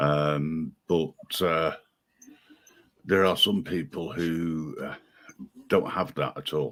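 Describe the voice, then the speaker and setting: With a British accent and a very deep, low pitch, a man speaks very slowly in fairly even intonation, leaving long, frequent pauses. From Britain. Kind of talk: casual chat. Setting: live stream. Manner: hesitant, many fillers.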